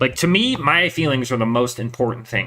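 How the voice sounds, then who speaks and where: A bright, sharp tone with an American accent at a fairly quick pace, on a very clean recording with a silent background. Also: man. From Northern California. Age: 30s. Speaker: streamer. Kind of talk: casual chat. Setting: home garage. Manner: hesitant, many fillers.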